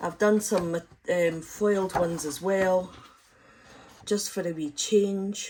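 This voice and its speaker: With a Scottish accent, a woman talks at medium pitch and with fairly even intonation. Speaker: crafting YouTuber. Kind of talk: craft tutorial. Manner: fast, talks in bursts on one breath; casual, many filler ums.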